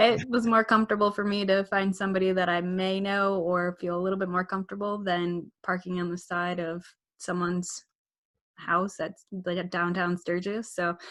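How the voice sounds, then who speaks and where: In a strong Midwest accent, a woman speaks at a medium pitch and a moderate pace with monotone, flat intonation. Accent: thick Midwest. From US Midwest. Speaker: motorcycle vlogger and wedding photographer. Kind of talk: casual chat.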